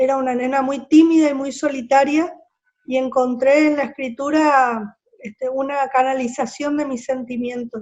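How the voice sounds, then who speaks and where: At a moderate pace, a woman talks in a high pitch with a monotone, flat intonation. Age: 60s. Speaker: writer. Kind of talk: interview.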